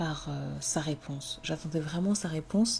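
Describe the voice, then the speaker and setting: This woman's voice sits fairly low in pitch with ordinary pitch variation. Her pace is fairly slow. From Comorian heritage, French-speaking. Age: 20s. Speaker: podcaster. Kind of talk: personal testimony. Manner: hesitant, many fillers.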